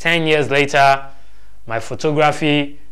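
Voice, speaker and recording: The background is quiet as a man talks. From Nigeria. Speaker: photography show host and photographer. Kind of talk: personal story. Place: studio.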